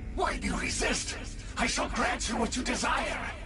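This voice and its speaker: A man shouting in a put-on character voice at a moderate pace, over loud background noise. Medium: machinima. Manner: grave, solemn.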